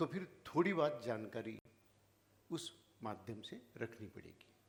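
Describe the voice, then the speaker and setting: The voice is somewhat breathy with lively intonation. Its loudness swings widely. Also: man, medium pitch for a man. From Maharashtra, India (rural village). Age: 70s. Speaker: founder of social service organisation. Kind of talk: speech to audience. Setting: stage with audience.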